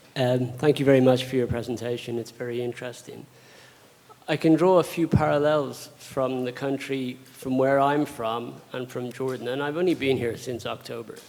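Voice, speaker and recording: A man with an Irish accent speaks at a medium pitch with fairly even intonation. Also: moderate pace. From Ireland. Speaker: audience member. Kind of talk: audience question.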